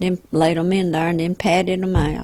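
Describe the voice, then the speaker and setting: A woman's medium-pitched voice with a Southern US accent, fairly quick and in a monotone, flat intonation, over noticeable background noise. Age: 70s. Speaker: home cook, grandmother. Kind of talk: casual chat.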